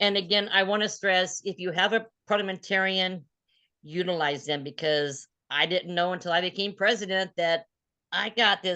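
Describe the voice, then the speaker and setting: Using a bright, sharp and animated tone, a woman speaks at a moderate pace with ordinary pitch variation against a quiet background. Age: 60s. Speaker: club president. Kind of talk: casual chat.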